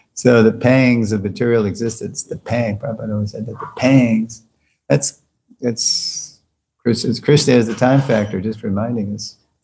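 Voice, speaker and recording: A man's medium-pitched voice, dark and mellow in tone, somewhat breathy, with fairly even intonation, big swings in loudness, and a moderate pace. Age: 70s. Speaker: spiritual teacher. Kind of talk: lecture Q&A.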